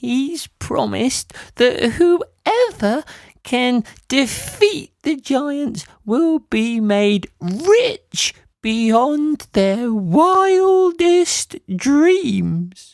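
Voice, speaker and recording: Using a put-on character voice, a woman speaks very slowly at a high pitch with very wide pitch swings, in a dry, close sound with no echo. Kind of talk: bedtime story. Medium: read story. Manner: gentle, warm, calls others "my dear".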